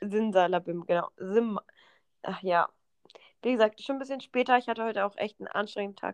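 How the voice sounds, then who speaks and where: A woman's voice with long, frequent pauses, big swings in loudness and ordinary pitch variation, dry and close with no echo, over a quiet background. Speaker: podcast co-host. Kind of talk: casual chat.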